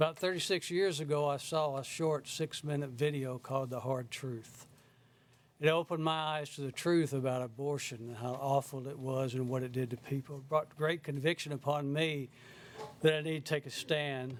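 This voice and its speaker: A man with a Southern US accent speaks at a moderate pace, fairly high in pitch, his intonation fairly even. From South Carolina. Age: 70s. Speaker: member of the public giving testimony. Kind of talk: public testimony. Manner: halting.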